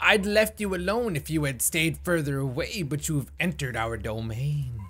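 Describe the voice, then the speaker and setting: Someone uses a put-on character voice with a menacing tone. The pace is moderate, and background noise is clear. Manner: menacing, ominous, polite.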